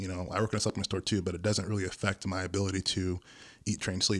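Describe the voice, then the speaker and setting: A man speaks with an unremarkable speaking voice. His pitch is fairly low and his intonation fairly even. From Hawaii (military family, also lived in Okinawa and California). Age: 30s. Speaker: bodybuilder and supplement store worker. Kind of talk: podcast interview.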